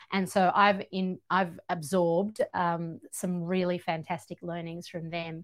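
A woman with an Australian accent talks at a fairly slow pace in a fairly low pitch, with monotone, flat intonation and hardly any pauses. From Georgia, former Soviet Union, raised in Australia. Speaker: author and radio broadcaster. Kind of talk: casual chat. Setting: podcast recording, in person.

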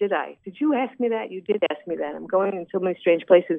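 A woman talks with a New York accent. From New York, Brooklyn. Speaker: singer and actress. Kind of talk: interview. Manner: halting, many fillers.

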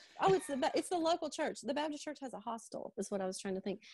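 With a Kentucky accent, a woman's voice swings very widely in pitch, and the sound is dry and close with no echo. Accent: Kentucky Southern US. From Liberty, Kentucky. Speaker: pharmacist and drugstore owner. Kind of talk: interview. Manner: animated.

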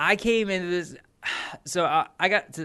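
The speaker is a man with an American accent. His tone comes across bright and sharp. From United States. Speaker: podcast co-host. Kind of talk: casual chat.

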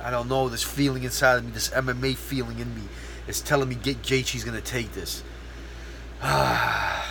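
A man with an American accent is heard amid noticeable background noise, his words carrying audible room echo. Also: moderate pace. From outside the US. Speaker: podcast host and MMA fighter. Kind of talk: casual solo podcast monologue. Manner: animated.

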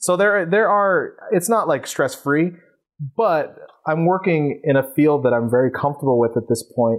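Recorded very cleanly against a silent background, a man with an American accent speaks at a moderate pace and a fairly high pitch. His intonation is lively, his loudness very even, and he has a plain, everyday voice. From New York, Queens. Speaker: photographer and publisher. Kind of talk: interview.

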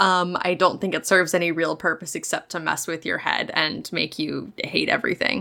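A woman speaks with vocal fry at a fairly low pitch. Her pace is moderate, with hardly any pauses. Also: fairly even intonation. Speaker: podcast co-host. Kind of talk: casual comedy podcast chat.

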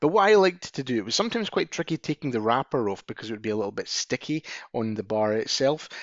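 Here is a man with a Scottish accent and lively intonation. He speaks at a very fast pace. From Scotland. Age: 40s. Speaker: podcast co-host. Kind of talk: casual chat.

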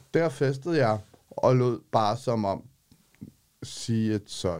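With lively intonation, a man talks. His pitch sits in the medium range. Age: 40s. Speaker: homeless street newspaper vendor. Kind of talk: interview; reading aloud his own text. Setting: studio.

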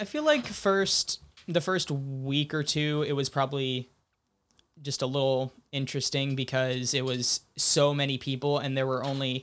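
With an American accent, the speaker talks at a moderate pace in a monotone, flat intonation on a very clean recording with a silent background. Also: man. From Sonoma County, California. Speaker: film director. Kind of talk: casual chat.

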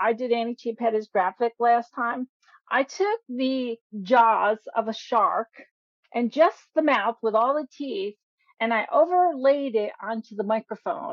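A woman's high-pitched voice with lively intonation at a fairly slow pace. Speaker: co-host of writing show. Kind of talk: radio show hosting.

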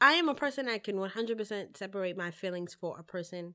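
Speaking fast-ish with a New York accent, a woman uses a bright, sharp tone and very wide pitch swings at a fairly quick pace. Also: very clean recording, silent background. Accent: New York City. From New York City, the Bronx. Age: 20s. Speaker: event organizer. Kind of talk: casual chat. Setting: studio.

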